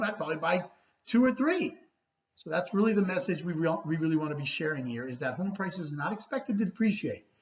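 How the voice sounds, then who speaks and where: A woman at a very fast pace, animated and somewhat breathy, with a fairly low pitch and lively intonation. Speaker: real estate agent. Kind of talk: market report presentation.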